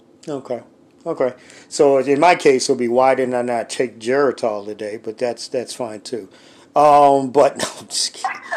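An unremarkable speaking voice from a man, medium in pitch, at a moderate pace with fairly even intonation. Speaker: sports radio host. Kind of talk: radio dj patter, brisk broadcast-style sports host spiel with ad reads and call-in plugs. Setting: studio at home.

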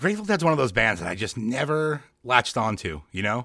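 A man with an American accent speaks very fast in a bright, sharp tone and lively intonation, on a very clean recording with a silent background. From New York, Long Island. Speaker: podcast host. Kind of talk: casual chat.

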